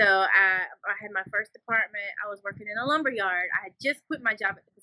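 A woman with an American accent and a bright, sharp tone, medium in pitch with ordinary variation, at a moderate pace in a dry, close sound with no echo. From Louisiana, Shreveport (US South). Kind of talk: interview. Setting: video interview.

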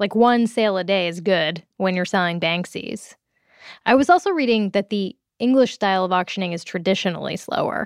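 In an unremarkable speaking voice, a woman talks at a fairly quick pace and medium pitch with ordinary pitch variation, in a dry, close sound with no echo. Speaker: podcast host. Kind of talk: casual, playful interview chat. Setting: phone call.

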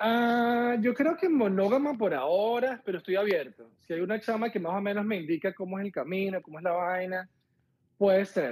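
This man's voice sits high in pitch for a man, and he speaks at a moderate pace. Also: lively intonation. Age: 40s. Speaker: caller looking for a partner. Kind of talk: casual chat.

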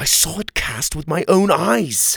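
Doing a put-on character voice, a man speaks at a fairly slow pace and fairly high pitch, with lively intonation, a fairly bright tone, vocal fry and a slightly husky edge.

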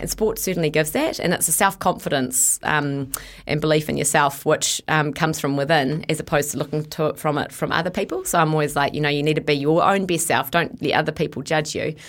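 Very fast and very deep, low in pitch, a woman talks with a New Zealand accent. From New Zealand (Bombay Hills, south of Auckland). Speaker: sports event director. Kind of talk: interview. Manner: animated.

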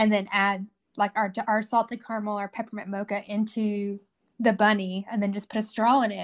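Over a quiet background, a woman in a Southern US accent speaks fairly quickly at medium pitch, her intonation flat and monotone. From Tennessee, Fayetteville. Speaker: whiskey cream company founder. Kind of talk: casual interview.

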